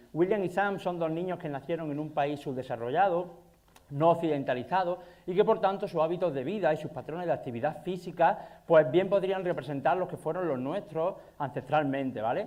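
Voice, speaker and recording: Fairly quick speech in an Andalusian accent, with ordinary pitch variation. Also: man, high pitch for a man. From Andalusia, Spain. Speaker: nutrition and exercise scientist. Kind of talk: conference talk. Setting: stage with audience. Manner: fast.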